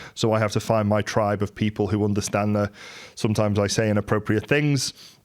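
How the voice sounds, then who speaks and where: With a Merseyside accent, a man speaks at a very fast pace in a fairly low pitch, with monotone, flat intonation and very even loudness, in a very clean recording with a silent background. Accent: Merseyside twang. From Merseyside, England. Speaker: entrepreneur. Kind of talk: monologue. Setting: live YouTube stream.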